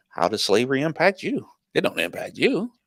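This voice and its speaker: A man puts on a nasal character voice, fairly high-pitched, raised and projected, at a fairly quick pace. The recording is dry and close, with no echo. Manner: mocking imitation.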